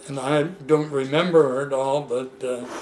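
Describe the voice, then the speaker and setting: A man with a fairly high pitch and fairly even intonation at a very slow pace, against light background noise. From Seattle, US Pacific Northwest. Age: 80s+. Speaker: elderly man recounting his life. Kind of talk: casual family interview. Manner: halting. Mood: relaxed reminiscing. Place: home room. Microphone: camera far.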